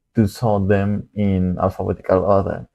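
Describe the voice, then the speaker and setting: A man talks at a fairly low pitch. He has a non-native accent. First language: not English. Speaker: student livestreamer solving coding problems. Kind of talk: live coding stream, thinking aloud. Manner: halting, hesitant with repetitions.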